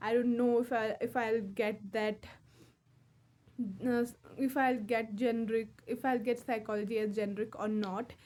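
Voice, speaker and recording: A woman's fairly high voice, monotone and flat, with very even loudness, a moderate pace and long, frequent pauses. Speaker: English learner vlogger. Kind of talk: casual monologue. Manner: halting.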